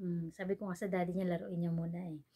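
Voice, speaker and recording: A soft-spoken woman's fairly low voice, dark and mellow in tone, with monotone, flat intonation. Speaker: vlogger. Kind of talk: casual vlog chat. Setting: indoors at home, dim room. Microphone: no external mic, quiet recording.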